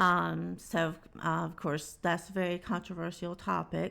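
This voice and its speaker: A woman with a Southern US accent speaks at a fairly slow pace in a very clean recording with a silent background. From Alabama, US South. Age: 60s. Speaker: music reaction youtuber. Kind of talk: casual vlog commentary. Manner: hesitant, many fillers.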